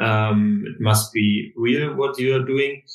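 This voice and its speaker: A man is speaking. His pace is very slow. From Germany, Berlin. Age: 20s. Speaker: running crew co-founder. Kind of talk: podcast interview.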